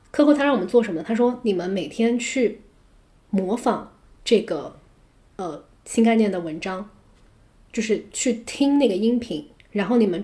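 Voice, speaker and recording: The voice is dark and mellow in tone, somewhat breathy, with lively intonation and a moderate pace. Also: woman. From China. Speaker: English educator and podcast host. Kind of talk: casual chat.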